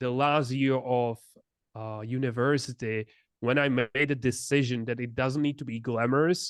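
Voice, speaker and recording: In a Czech accent, a man speaks fairly slowly at medium pitch with fairly even intonation, the sound dry and close with no echo and the background quiet. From Czech Republic. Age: 20s. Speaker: entrepreneur. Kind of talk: interview.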